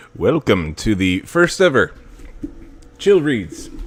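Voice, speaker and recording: Music plays in the background as a man speaks. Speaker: aspiring voice-over narrator. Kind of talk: casual livestream talk. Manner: relaxed, conversational.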